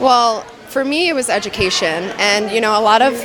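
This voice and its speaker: Amid crowd noise and audible room echo, a woman talks at a moderate pace at a medium pitch with ordinary pitch variation. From Long Island, New York. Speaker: former beauty pageant titleholder. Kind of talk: red carpet interview. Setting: charity gala red carpet.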